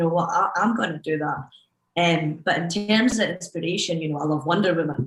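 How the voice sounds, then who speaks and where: In a Scottish accent, a woman talks at a fairly quick pace. Her pitch is fairly low, with ordinary pitch variation. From Scotland. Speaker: DJ. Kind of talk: panel discussion.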